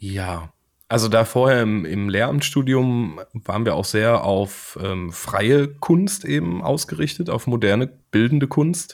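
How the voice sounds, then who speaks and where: A man speaks very slowly at a medium pitch, with very wide pitch swings. The recording is very clean, with a silent background. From Germany, Siegen. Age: 30s. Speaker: board game illustrator. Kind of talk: casual interview.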